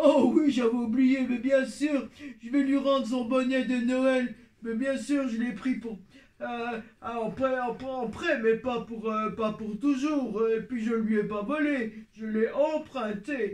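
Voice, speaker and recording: A man's cartoonish character voice, extremely high-pitched and fairly slow. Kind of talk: children's puppet show. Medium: puppet.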